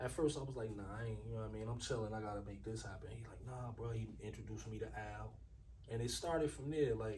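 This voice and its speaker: There is audible room echo as a man talks in an American accent. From Newark, New Jersey. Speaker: rapper. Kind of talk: casual interview.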